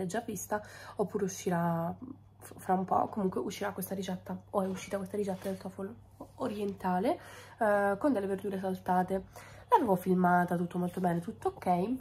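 Somewhat breathy, a woman talks at a fairly quick pace in a dark, mellow tone with fairly even intonation. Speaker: food content creator. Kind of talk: casual vlog chat. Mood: frustrated, wry. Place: kitchen. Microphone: phone near.

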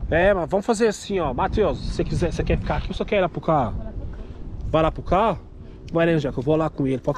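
A man rattles along at a very fast pace with ordinary pitch variation, in a dry sound with no echo and noticeable background noise. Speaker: vlogger. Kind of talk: casual vlog chat, reassuring a child. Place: street. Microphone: phone near.

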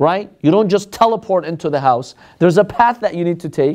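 A man speaks in a high voice against a quiet background. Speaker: religious teacher. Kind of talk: lecture. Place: classroom. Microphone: lapel.

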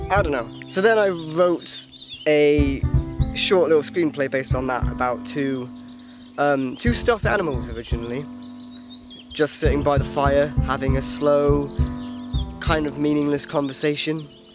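Over music in the background, a man talks with long, frequent pauses in a dry sound with no echo. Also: moderate pace. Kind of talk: casual vlog chat. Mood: reflective, slightly self-mocking. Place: open country. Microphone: phone near.

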